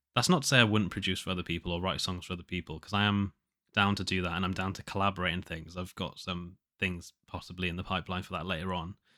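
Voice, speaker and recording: Speech runs at a very fast pace in a monotone, flat delivery with a bright, sharp tone. The recording is very clean, with a silent background and a dry, close sound free of echo. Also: man, very deep, low pitch for a man. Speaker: solo podcaster and indie musician. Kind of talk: casual diary monologue. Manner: halting, many fillers and restarts.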